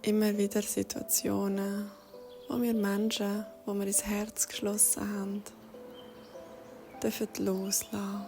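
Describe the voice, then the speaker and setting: A woman speaks very slowly in a Swiss accent, at medium pitch with monotone, flat intonation. Long, frequent pauses break up her speech, and music plays in the background. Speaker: meditation guide. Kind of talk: guided meditation. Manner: soft-spoken, slow.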